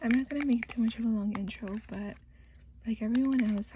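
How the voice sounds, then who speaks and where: Noticeable background noise sits behind a soft-spoken woman with a fairly high pitch. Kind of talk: soft-spoken ASMR makeup unboxing.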